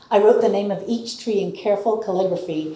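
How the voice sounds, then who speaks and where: Over noticeable background noise and audible room echo, a woman talks at a moderate pace and a medium pitch. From Appalachia, Tennessee. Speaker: storyteller. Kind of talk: storytelling performance.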